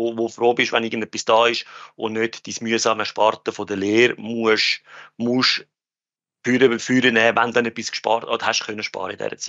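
Speaking at a moderate pace, the man has a medium pitch and a monotone, flat intonation. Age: 30s. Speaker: finance industry worker. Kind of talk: casual chat. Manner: halting.

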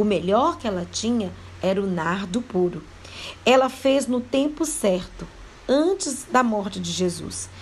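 A woman talks at a very slow pace with a fairly high pitch. Her pitch swings very widely. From Brazil, Minas Gerais (Mariana). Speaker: devotional speaker. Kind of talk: devotional Bible talk. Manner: hesitant, with repetitions.

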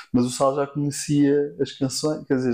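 At a moderate pace, a man speaks in a fairly high pitch with a monotone, flat intonation. His tone is dark and mellow. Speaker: singer-songwriter and producer. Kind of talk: casual chat.

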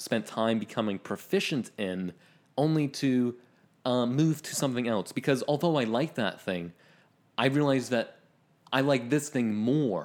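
In an ordinary speaking voice, a man with a Canadian accent talks at a moderate pace and medium pitch with lively intonation. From rural Ontario, Canada. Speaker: podcast co-host. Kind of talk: casual chat.

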